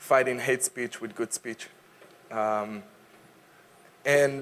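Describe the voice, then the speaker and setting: The speaker talks at a fairly slow pace with an Israeli accent. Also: man. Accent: Israeli, non-native English. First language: Hebrew and Arabic. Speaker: advocacy speaker. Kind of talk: public talk. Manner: energetic, engaging.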